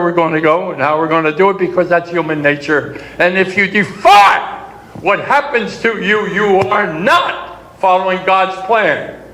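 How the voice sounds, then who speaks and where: A high-pitched man with an American accent, amid noticeable background noise and audible room echo. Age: 90s. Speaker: war veteran. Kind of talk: speech to an audience. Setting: conference session.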